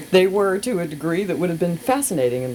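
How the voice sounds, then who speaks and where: Lively intonation from a woman, with noticeable noise behind her. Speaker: radio host. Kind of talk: reading aloud. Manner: casual.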